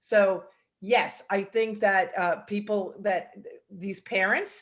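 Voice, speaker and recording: A woman with a New York accent speaks at a medium pitch and a very slow pace. Her intonation is monotone and flat. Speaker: salon owner and hair educator. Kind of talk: video call interview. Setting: video call.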